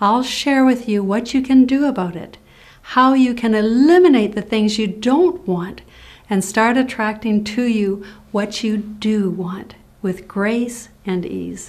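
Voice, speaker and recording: The voice is somewhat breathy and moves at a fairly slow pace. Its pitch variation is ordinary. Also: woman, fairly high pitch for a woman. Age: 60s. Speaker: motivational speaker and nurse. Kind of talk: scripted presentation.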